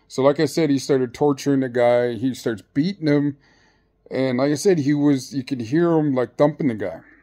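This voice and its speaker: A man's voice, dark and mellow with ordinary pitch variation, comes through over a quiet background. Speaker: storyteller. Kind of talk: casual vlog chat. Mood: amused, animated. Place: home room. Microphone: phone near.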